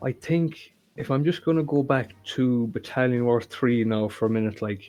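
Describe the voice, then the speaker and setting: At a moderate pace, a man speaks with a dark, mellow tone at a medium pitch and ordinary pitch variation. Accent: Irish. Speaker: game fan, 3D tank modeller. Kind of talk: casual interview.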